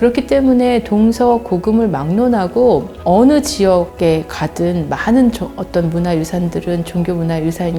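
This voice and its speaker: Over music in the background, a woman speaks at a fairly low pitch with very wide pitch swings. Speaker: university professor of religious studies. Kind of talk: interview answer.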